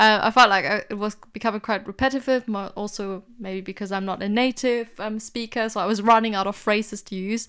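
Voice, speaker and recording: Speaking with a non-native accent, a woman uses a fairly high pitch and monotone, flat intonation. She moves at a fairly quick pace with hardly any pauses, and the recording is very clean with a silent background. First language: not English. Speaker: podcast co-host, PhD graduate. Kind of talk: casual chat. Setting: home recording with laundry hung up.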